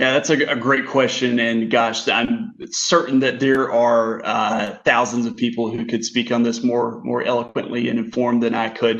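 This man has an American accent and talks at a moderate pace, barely pausing. His intonation is flat and monotone, with noticeable background noise behind him. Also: medium pitch for a man. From US South, Kinston, North Carolina. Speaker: healthcare administrator. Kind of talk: casual chat. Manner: halting, frequent repetitions.

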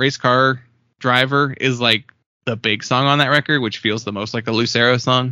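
An unremarkable speaking voice moves along at a fairly quick pace. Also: man. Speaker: podcast co-host. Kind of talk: casual chat.

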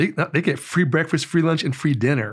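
On a very clean recording with a silent background, a somewhat breathy man speaks at a fairly quick pace with ordinary pitch variation. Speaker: politician and former sheriff's deputy. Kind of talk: casual interview.

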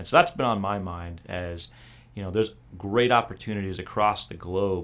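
A man's fairly low-pitched, unremarkable speaking voice at a moderate pace. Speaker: military officer podcast host. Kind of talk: casual podcast chat. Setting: studio.

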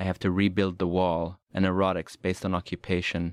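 With a Swedish accent, the speaker delivers monotone, flat intonation in a dry, close sound with no echo on a very clean recording with a silent background. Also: man. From Sweden. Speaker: poet. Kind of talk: poetry reading.

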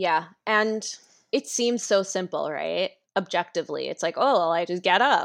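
A woman's medium-pitched, plain, everyday voice at a moderate pace with ordinary pitch variation over a quiet background. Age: 30s. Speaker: illustrator and mental health advocate. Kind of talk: casual interview chat.

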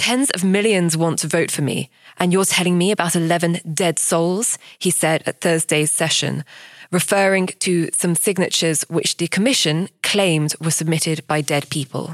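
A woman talks at a moderate pace in a normal speaking voice, with fairly low pitch, ordinary pitch variation and very even loudness. The recording is very clean, with a silent background and a dry, close sound with no echo. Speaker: podcast host. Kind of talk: scripted narration.

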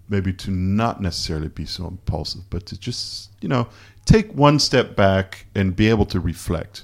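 A man speaks in an ordinary speaking voice with a fairly low pitch and ordinary pitch variation, at a moderate pace with big swings in loudness. The recording is very clean, with a silent background. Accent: Canadian. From Canada. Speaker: photographer. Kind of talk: casual chat. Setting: hotel room.

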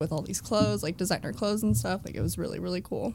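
With vocal fry and a fairly low pitch, a woman speaks at a very fast pace on a very clean recording with a silent background. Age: 20s. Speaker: model. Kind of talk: casual chat.

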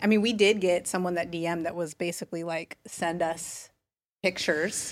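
A woman talks at a fairly slow pace in a normal speaking voice. Her pitch is medium, with ordinary pitch variation. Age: 30s. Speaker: homeschooling parent and former gallery owner. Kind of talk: casual chat.

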